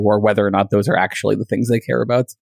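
A man with an American accent talks in a fairly low pitch with fairly even intonation. It is an unremarkable speaking voice, with a dry, close sound with no echo. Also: very clean recording, silent background. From United States. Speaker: philosophy lecturer and podcast host. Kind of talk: casual chat.

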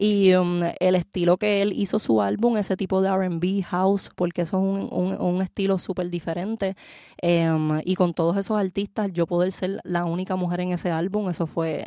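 A woman with a dark, mellow tone and medium pitch speaks at a moderate pace with fairly even intonation and hardly any pauses. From Puerto Rico. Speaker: singer. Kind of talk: interview.

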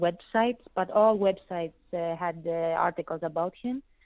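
In a Greek accent, the speaker talks at a moderate pace with fairly even intonation. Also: woman. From Greece. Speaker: tennis journalist. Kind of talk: interview. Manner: halting, many filler words.

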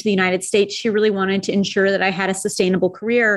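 The background stays quiet as a woman talks. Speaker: NFT artist and founder. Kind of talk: interview. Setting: remote recording. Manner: energetic.

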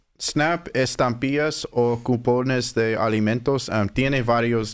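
With an English accent, a man speaks at a very slow pace using ordinary pitch variation, captured in a very clean recording with a silent background. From Southern California. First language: English (speaking Spanish). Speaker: food bank outreach worker, former Spanish teacher. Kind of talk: interview. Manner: hesitant, many fillers.

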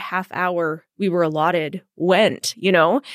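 A woman speaks with a Western Canadian accent. The sound is dry and close with no echo, on a very clean recording with a silent background. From Edmonton, Alberta, Canada. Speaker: TV news host and producer. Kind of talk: interview.

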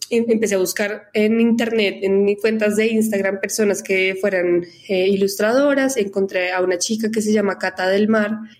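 The delivery is flat and monotone at a moderate pace, with very even loudness throughout. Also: woman, medium pitch for a woman. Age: 20s. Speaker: advertising professional and foundation director. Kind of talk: interview.

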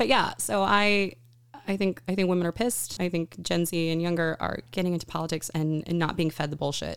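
A woman with an American accent talks at a fairly quick pace in a normal speaking voice. Her pitch is fairly low with ordinary variation, and the recording is very clean with a silent background. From Texas, small town near Austin. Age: 30s. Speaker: surgical assistant in reproductive healthcare. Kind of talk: casual chat.

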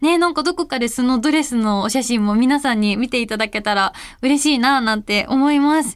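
Fairly quick speech from a woman with a high-pitched voice. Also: ordinary pitch variation, very clean recording, silent background. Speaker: radio host. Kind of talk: casual radio talk. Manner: animated.

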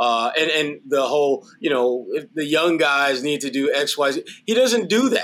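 This man has an unremarkable speaking voice, a fairly high pitch and lively intonation. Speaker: sports analyst. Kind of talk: casual sports talk, post-game show.

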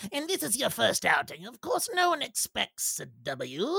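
A man puts on a character voice with an extremely high pitch. He keeps a moderate pace. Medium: actual play. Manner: formal, stilted phrasing; nervous.

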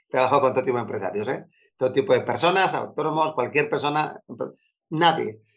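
An ordinary speaking voice from a man, fairly high in pitch and fairly quick, with ordinary pitch variation. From Spain, Bilbao (Basque Country). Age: 40s. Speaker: productivity coach. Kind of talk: interview.

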